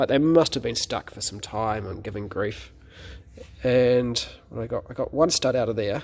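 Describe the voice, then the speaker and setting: Relaxed in tone, a man with a fairly low pitch and vocal fry speaks at a fairly slow pace with lively intonation. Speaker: classic car restorer. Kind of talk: casual talk to camera. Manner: rambling, relaxed.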